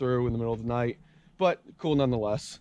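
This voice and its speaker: Very fast speech comes in a dark, mellow tone with fairly even intonation. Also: man. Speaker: thru-hiking vlogger. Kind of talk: outdoor vlog. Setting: outdoors on a hiking trail. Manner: lowered voice.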